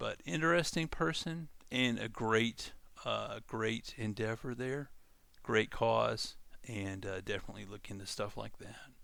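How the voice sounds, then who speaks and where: A man with a Louisiana accent speaks at a fairly slow pace, his loudness swinging a great deal. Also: very clean recording, silent background. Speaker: coding tutorial channel host. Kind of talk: casual monologue. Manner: halting, many fillers.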